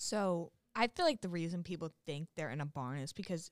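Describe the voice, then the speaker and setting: An American woman speaks at a moderate pace with a normal speaking voice, fairly low in pitch and with ordinary pitch variation. The sound is dry and close, with no echo. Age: 20s. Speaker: college student. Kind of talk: casual chat.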